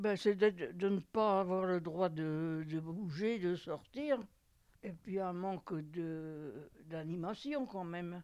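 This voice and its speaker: Speaking at a very slow pace, a woman with a fairly low pitch and a dark, mellow tone shows ordinary pitch variation. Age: 80s+. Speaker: nursing home resident. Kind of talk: interview testimony.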